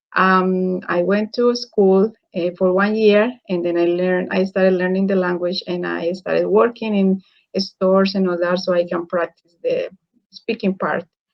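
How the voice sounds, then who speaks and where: The intonation is monotone and flat, at a moderate pace. The speaker talks with a Spanish accent. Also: woman, medium pitch for a woman. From Colombia. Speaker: engineer and online business mentor. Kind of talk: interview. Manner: halting.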